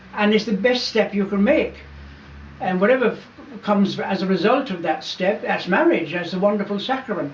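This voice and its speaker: A man speaks at a high pitch and a moderate pace with ordinary pitch variation. There is noticeable background noise. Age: 80s+. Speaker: Franciscan friar. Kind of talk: interview. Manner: halting.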